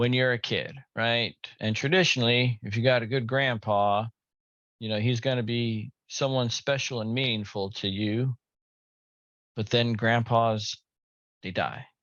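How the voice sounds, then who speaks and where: At a fairly slow pace with long, frequent pauses, a man speaks at a medium pitch with fairly even intonation. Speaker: bible teacher. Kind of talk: sermon.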